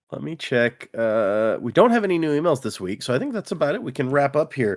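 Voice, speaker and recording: The speech comes at a fairly quick pace with an American accent, on a very clean recording with a silent background. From Texas. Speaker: podcast co-host. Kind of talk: casual chat. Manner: enunciated, spread-out delivery.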